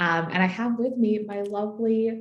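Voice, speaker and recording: There is audible room echo as a woman speaks with an American accent. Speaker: customer success staff, webinar host. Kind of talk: webinar presentation. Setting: online webinar. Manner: upbeat, enthusiastic.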